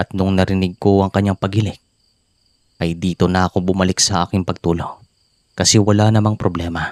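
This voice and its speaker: A man speaks at a fairly quick pace in a very deep, low voice with flat, monotone intonation and very even loudness. The sound is dry and close with no echo, and the recording is very clean over a silent background. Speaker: horror story narrator. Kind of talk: reading aloud. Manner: relaxed.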